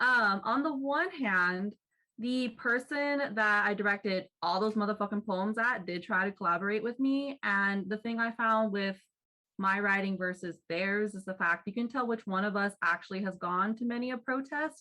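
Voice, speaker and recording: A woman speaks loudly at a moderate pace and medium pitch. Her tone is bright and sharp, with ordinary pitch variation. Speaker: poet. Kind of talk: open mic discussion.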